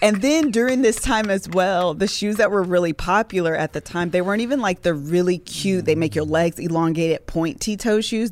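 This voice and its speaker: At a moderate pace and medium pitch, a woman with an American accent talks in a plain, everyday voice. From Ohio, US Midwest. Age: 30s. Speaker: podcast host. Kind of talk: casual chat.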